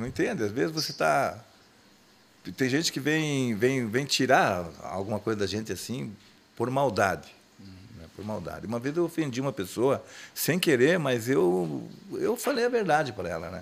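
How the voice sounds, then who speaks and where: With vocal fry and very wide pitch swings, a man speaks at a moderate pace, leaving long, frequent pauses. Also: medium pitch for a man. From Rio Grande do Sul, Brazil (Nonoai). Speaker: singer of a gaucho music group. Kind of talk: casual chat.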